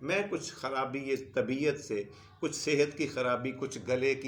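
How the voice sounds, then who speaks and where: Audible room echo surrounds speech delivered very slowly. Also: man. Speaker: history storyteller. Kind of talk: history lecture.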